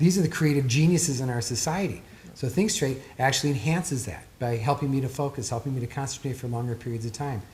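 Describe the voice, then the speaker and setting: A man with a medium pitch talks at a very fast pace, somewhat breathy, with ordinary pitch variation. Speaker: author and performance therapist. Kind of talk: interview. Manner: expressive.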